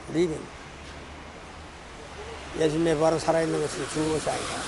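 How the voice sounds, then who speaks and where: A man speaks with monotone, flat intonation over noticeable background noise. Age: 80s+. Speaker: evangelist preacher. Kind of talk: sermon preaching. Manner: repetitive, emphatic.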